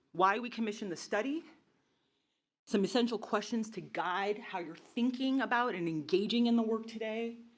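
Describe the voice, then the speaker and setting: At a fairly quick pace, a woman with a fairly high voice speaks in an animated tone with ordinary pitch variation. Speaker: nonprofit leader presenting research. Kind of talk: presentation to an audience. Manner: fast.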